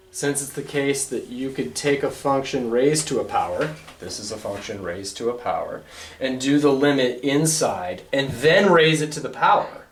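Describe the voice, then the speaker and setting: In a room with audible echo and noticeable background noise, a man speaks at a moderate pace and fairly high pitch, with ordinary pitch variation and big swings in loudness. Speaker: math lecturer. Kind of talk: lecture.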